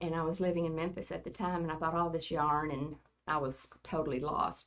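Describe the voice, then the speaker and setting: A woman's fairly low, monotone, flat delivery in a Southern US accent. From US South, rural West Tennessee. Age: 70s. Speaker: grandmother, oral history interviewee. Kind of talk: oral history interview. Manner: hesitant, many fillers.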